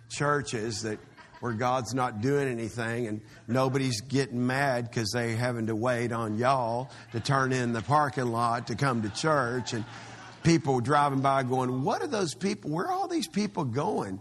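A man with a Texan accent, medium pitch, ordinary pitch variation and a moderate pace, with audible room echo. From Texas. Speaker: pastor. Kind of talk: sermon.

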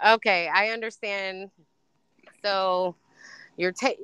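In an American accent, a woman speaks at a medium pitch with a bright, sharp tone and fairly even intonation, her sound dry and close with no echo against a quiet background.

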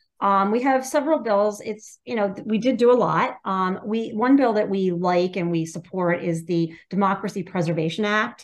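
A woman with an American accent and a normal speaking voice talks at a moderate pace, with hardly any pauses, at a medium pitch. Her intonation is lively, and the background is quiet. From Pennsylvania, US. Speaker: political activist organizer. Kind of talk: interview.

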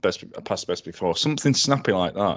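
A man with a Yorkshire accent, lively intonation and a fairly quick pace, against a quiet background. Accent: Sheffield Yorkshire English. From Sheffield, South Yorkshire. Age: 30s. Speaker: food business co-founder. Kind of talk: casual chat.

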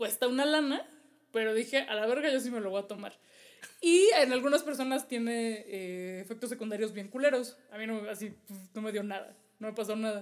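An ordinary speaking voice from a woman, fairly high-pitched and fairly quick, with ordinary pitch variation and big swings in loudness. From Mexico. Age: 30s. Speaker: travel podcast co-host. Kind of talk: casual chat.

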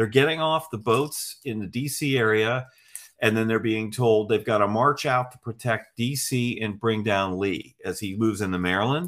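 Recorded very cleanly with a silent background, a man has a normal speaking voice, talking at a moderate pace with a medium pitch and ordinary pitch variation. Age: 60s. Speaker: history magazine editor. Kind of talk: casual interview.

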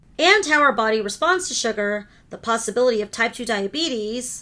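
Fairly high and bright, sharp in tone, a woman's voice moves at a fairly quick pace with an American accent. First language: Hindi. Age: 40s. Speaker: podcast host. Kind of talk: solo podcast monologue.

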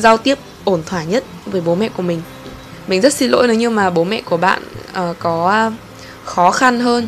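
Over background music, a woman speaks at a moderate pace with a medium pitch. Her pitch varies in an ordinary way, and she takes long, frequent pauses. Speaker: solo podcast host. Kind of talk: casual monologue. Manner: animated.

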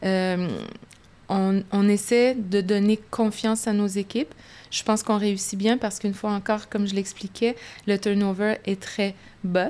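A woman with a medium pitch talks at a fairly slow pace, her intonation monotone and flat. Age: 50s. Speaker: business executive. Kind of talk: interview. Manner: halting.

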